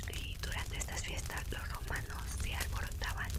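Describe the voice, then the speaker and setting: A woman whispers while noticeable background noise plays behind her. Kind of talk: whispered reading about history. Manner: whispered, soft, relaxing.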